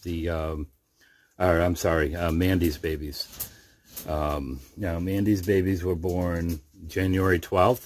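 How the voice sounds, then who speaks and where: A man talks fairly slowly in a very deep, low pitch, leaving long, frequent pauses. The intonation is fairly even, and the sound is dry with no echo, over light background noise. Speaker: rabbit breeder. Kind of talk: casual vlog chat. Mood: relaxed, friendly. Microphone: phone near.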